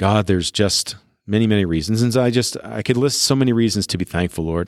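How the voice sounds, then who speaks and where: A man with a plain, everyday voice, fairly low in pitch, at a fairly quick pace with ordinary pitch variation, on a very clean recording with a silent background. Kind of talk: teaching talk, then fervent spoken prayer near 12:09, earnest and intimate. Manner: conversational, self-correcting with fillers.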